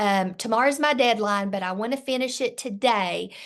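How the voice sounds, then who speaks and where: A woman talks with a Southern US accent and ordinary pitch variation. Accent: Southern US country. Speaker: direct sales director. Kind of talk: sales training talk. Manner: animated.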